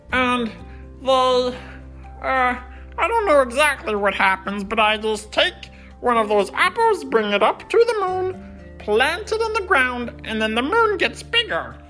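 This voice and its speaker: A female-sounding, put-on character voice speaks at a fairly slow pace. Clear music plays in the background. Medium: read story. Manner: hesitant, gentle.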